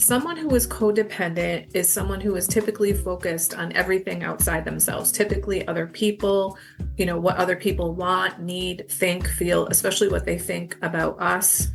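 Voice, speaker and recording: Music plays behind a woman. She talks fairly quickly with hardly any pauses. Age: 60s. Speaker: guest sharing recovery story. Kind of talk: interview.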